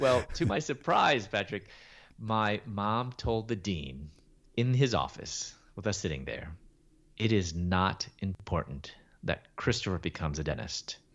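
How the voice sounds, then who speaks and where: A man with a fairly low, fry-edged voice speaks at a fairly slow pace, his pitch swinging very widely. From Chicago, US Midwest. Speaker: Bible teacher and author. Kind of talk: testimony.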